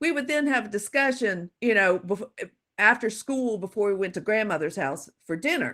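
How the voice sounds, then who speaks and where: In an American accent, a woman speaks at medium pitch with a normal speaking voice, lively intonation and a moderate pace. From US South, Louisiana. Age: 60s. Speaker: psychological safety expert and author. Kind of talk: guest talk.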